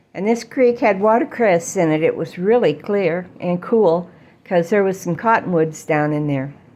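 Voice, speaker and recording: Lively intonation and a dark, mellow tone come through in this voice with an American accent. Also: woman, medium pitch for a woman, moderate pace. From Idaho, US. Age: 70s. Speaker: storyteller. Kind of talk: personal storytelling. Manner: halting, many filler words.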